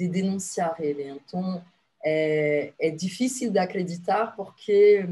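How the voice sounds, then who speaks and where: In a French accent, this somewhat breathy voice with a dark, mellow tone moves at a very slow pace with ordinary pitch variation. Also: woman. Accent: foreign (French) accent in Portuguese. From France. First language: French (speaking Portuguese). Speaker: activist and former consul. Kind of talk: TV interview. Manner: hesitant, many filler sounds.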